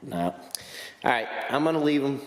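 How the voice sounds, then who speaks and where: A man amid noticeable background noise and audible room echo. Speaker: motorcycle vlogger. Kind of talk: casual vlog narration. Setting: outdoors. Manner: occasional stuttering; casual, animated.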